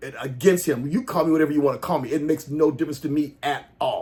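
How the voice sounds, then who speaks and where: Talking at a very fast pace, a man comes across animated. His tone stays animated throughout. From US South, Jackson, Mississippi. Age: 60s. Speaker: pastor and political commentator. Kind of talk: opinion rant to camera. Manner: animated, repetitive and halting.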